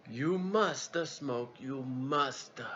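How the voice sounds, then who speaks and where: Putting on a character voice with an Italian accent, a man speaks at a medium pitch with ordinary pitch variation against clear background noise. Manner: insistent, emphatic.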